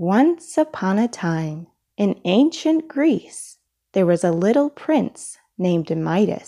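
Quiet surroundings behind someone reading aloud in a natural voice

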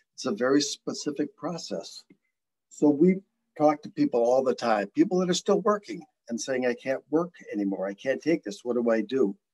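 With very wide pitch swings, a man talks at a moderate pace. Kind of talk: presentation. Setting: video call. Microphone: video call.

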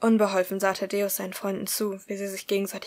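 A clip of reading aloud in a natural voice

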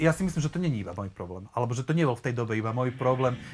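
Here a man speaks with lively intonation. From eastern Slovakia, near Prešov; eastern Slovakia. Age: 30s. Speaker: church member, interview guest; interview guest. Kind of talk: casual interview. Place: home room.

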